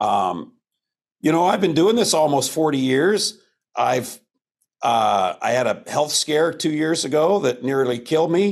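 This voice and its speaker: A man speaks in a normal speaking voice at a fairly high pitch, with lively intonation. His pace is fairly slow and his loudness very even. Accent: American. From US Pacific Northwest, eastern Washington. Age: 60s. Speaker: stand-up comedian. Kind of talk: interview.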